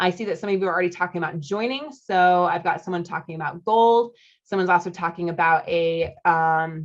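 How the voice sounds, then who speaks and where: At a fairly quick pace, a woman speaks in a fairly low pitch with ordinary pitch variation against a quiet background. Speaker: marriage coach. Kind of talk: sales pitch. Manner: animated; fast.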